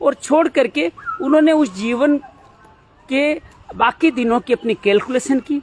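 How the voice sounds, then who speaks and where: The speaker is a man. His intonation is lively. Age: 50s. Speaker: spiritual life talk host. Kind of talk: reflective monologue. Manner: hesitant with filler sounds.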